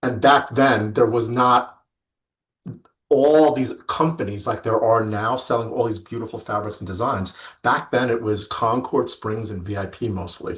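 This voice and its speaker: The man has an ordinary speaking voice and a medium pitch. He keeps a moderate pace with ordinary pitch variation. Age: 50s. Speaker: fabric industry rep and life coach. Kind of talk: interview.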